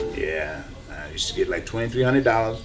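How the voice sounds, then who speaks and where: Over noticeable background noise, a man speaks at a moderate pace. Audible room echo surrounds his voice. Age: 60s. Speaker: recovering addict, former athlete. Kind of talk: documentary interview testimony.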